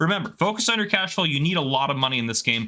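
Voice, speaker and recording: Very fast and bright with a sharp tone, a man's fairly high voice makes very wide pitch swings. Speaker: gaming youtuber. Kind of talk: tutorial.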